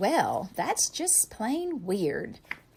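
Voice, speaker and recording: This squeaky, put-on character voice swings very widely in pitch. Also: woman, high pitch for a woman. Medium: read story. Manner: stuttering, nervous.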